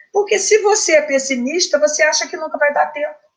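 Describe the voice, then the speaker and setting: A woman speaks with ordinary pitch variation. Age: 70s. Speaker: spiritist study leader and teacher. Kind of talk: religious study talk. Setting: speaking from home. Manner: conversational, with repetitions.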